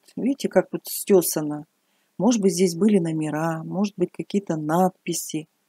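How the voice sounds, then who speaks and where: A woman's dark, mellow tone with ordinary pitch variation, moderate pace, dry sound with no echo, and a quiet background. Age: 60s. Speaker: retired hairdressing teacher, vlogger. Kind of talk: casual vlog narration to camera. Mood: curious, thoughtful. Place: open country. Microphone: phone near.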